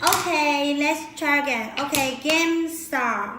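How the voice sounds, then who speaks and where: Against noticeable background noise and audible room echo, a woman with a Chinese accent speaks at a high pitch. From China. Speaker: live streamer. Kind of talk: live stream chat. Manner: repetitive.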